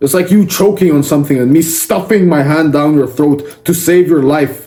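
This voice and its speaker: A man shouts in a fairly high pitch with ordinary pitch variation. His tone is intense, yet dark and mellow. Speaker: self-improvement content creator. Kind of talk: motivational speech. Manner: yelling; intense, confrontational.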